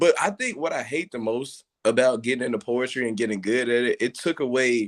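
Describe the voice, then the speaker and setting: A man speaks at a moderate pace with a medium pitch and ordinary pitch variation. The recording is very clean, with a silent background. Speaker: poet. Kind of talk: casual chat. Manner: halting.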